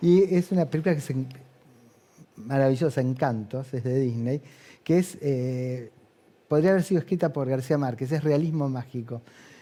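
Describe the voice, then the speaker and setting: Long, frequent pauses break up a man's fairly high-pitched voice, which has a dark, mellow tone. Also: ordinary pitch variation, moderate pace. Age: 60s. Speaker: hospital director. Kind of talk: TV interview. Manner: animated.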